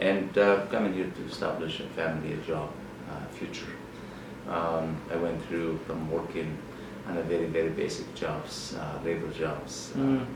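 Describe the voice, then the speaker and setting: A man with a Lebanese accent speaks at a very deep, low pitch and a moderate pace, with ordinary pitch variation over noticeable background noise. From Lebanon. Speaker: politician, member of parliament. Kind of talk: interview answer.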